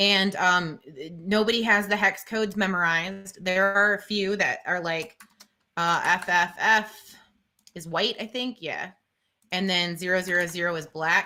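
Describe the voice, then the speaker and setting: A woman with medium pitch speaks loudly in a bright, sharp tone. Her pace is fairly slow and her intonation fairly even. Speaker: teacher and live-stream co-host. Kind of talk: tutorial. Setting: live stream.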